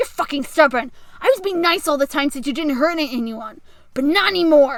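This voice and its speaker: A woman's put-on character voice, growling with an angry tone, high-pitched, with lively intonation and a fairly quick pace. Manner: snarling, angry.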